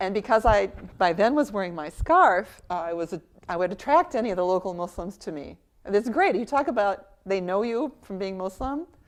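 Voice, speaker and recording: With an American accent, a woman speaks at a medium pitch in an unremarkable speaking voice. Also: lively intonation, fairly quick pace. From US. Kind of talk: interview testimony.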